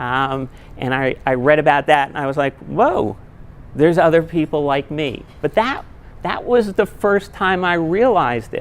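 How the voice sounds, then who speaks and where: A woman with an American accent speaks at a moderate pace in a very deep, low pitch with lively intonation. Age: 60s. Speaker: public speaker. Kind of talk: talk to an audience.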